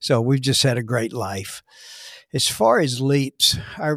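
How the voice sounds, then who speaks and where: In a normal speaking voice with an American accent, a man talks at a fairly slow pace and medium pitch with fairly even intonation, the sound dry and close with no echo. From Texas, Dallas. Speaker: pastor. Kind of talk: interview testimony.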